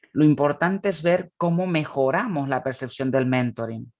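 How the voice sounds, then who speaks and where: Against a quiet background, the speech unfolds at a fairly slow pace. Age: 30s. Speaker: conference speaker, academic. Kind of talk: conference presentation. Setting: online conference.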